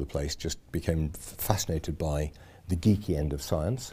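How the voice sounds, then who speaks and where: A man talks with a slight Yorkshire accent. His tone is dark and mellow. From Yorkshire, Sheffield area. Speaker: nuclear industry association chairman. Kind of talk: casual interview.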